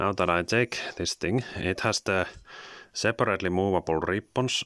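A man speaks at a fairly slow pace in a very deep, low voice with ordinary pitch variation. The sound is dry with no echo, and the background is quiet. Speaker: toy reviewer. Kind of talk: product review. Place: home room. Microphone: phone near.

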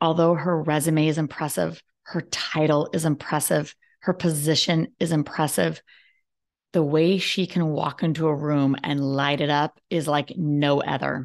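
In a quiet background, a woman speaks at a fairly slow pace with a very deep, low pitch. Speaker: podcast host. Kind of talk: interview. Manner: animated. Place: home room. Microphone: webcam.

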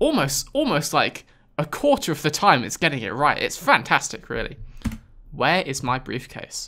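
A man with a British accent at a moderate pace. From UK. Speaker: gaming YouTuber. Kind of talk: let's play commentary. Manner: animated. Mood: wry, sarcastic amusement.

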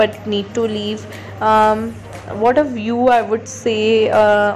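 A woman speaks with music playing in the background. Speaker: vlogger. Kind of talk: casual vlog narration.

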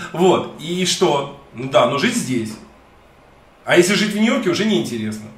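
A man in an animated tone, high-pitched with very wide pitch swings, at a moderate pace, long pauses coming often, audible room echo around him. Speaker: YouTube streamer interviewing a guest; interview guest. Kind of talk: live stream conversation. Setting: studio. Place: home room. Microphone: webcam.

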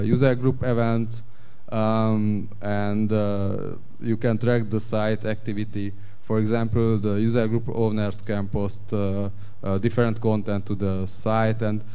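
A man's unremarkable speaking voice, fairly slow and fairly even in intonation. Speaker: panelist. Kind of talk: conference presentation. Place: stage.

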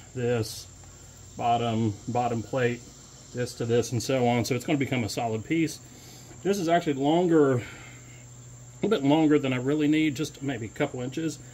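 At a moderate pace, a man talks with ordinary pitch variation and long, frequent pauses. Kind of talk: tutorial. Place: workshop. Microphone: phone near.

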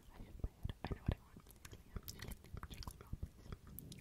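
Someone whispers at a very fast pace. Background noise is noticeable. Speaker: ASMR creator. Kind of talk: sleep story reading. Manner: whispered.

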